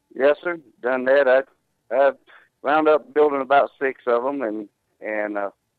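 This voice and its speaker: Here a man with a Southern US accent speaks at a moderate pace with ordinary pitch variation. He leaves long, frequent pauses. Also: medium pitch for a man. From Georgia, US South. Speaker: tow company owner. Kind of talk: interview.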